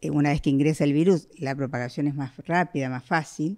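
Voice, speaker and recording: Against a quiet background, a woman speaks with very deep, low pitch, a dark, mellow tone and fairly even intonation. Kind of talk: press briefing answer. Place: office.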